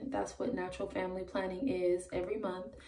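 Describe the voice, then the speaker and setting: Quietly and with lively intonation, a woman speaks at a medium pitch over light background noise. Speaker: parenting vlogger. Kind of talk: casual vlog. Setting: at home. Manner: hesitant, many ums. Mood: calm, a bit nervous. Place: bathroom. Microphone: phone near.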